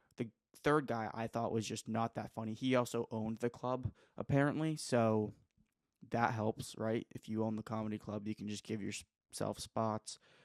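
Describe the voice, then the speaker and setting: A man with a plain, everyday voice speaks at a moderate pace in a medium pitch and fairly even intonation. The recording is very clean with a silent background, and the sound is dry and close with no echo. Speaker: vlogger, aspiring comedian. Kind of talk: casual monologue. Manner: rambling, filler-heavy.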